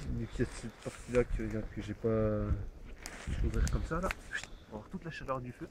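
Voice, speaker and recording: A man talks at a fairly slow pace. He leaves hardly any pauses. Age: 20s. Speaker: camper, birthday guest. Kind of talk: casual chat. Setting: outdoors.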